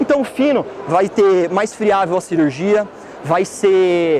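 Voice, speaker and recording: A man with a high voice speaks over noticeable background noise. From Santa Catarina, Brazil (Blumenau). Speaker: dentist. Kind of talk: lecture. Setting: trade fair stand with audience.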